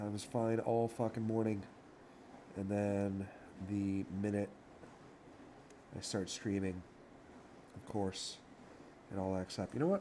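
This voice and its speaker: In a dark, mellow tone and fairly low pitch, a man speaks at a fairly slow pace with monotone, flat intonation and long, frequent pauses. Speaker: streamer. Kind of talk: casual live stream chat. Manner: casual, hesitant with fillers.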